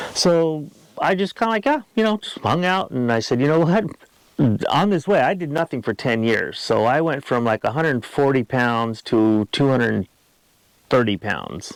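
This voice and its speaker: This man's voice sits fairly high and swings very widely in pitch. He talks at a moderate pace, and the sound is dry and close with no echo. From Los Angeles area, California. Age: 60s. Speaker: retired champion athlete. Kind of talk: casual interview. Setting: outdoors at a campsite. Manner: casual, halting with many fillers.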